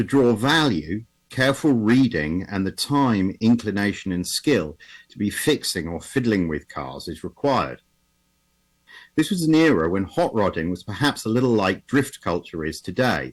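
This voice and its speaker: In an English accent, a man with a fairly low pitch speaks at a moderate pace with very wide pitch swings on a very clean recording with a silent background. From England. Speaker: automotive historian presenter. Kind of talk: conference presentation. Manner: halting, with repetitions and fillers.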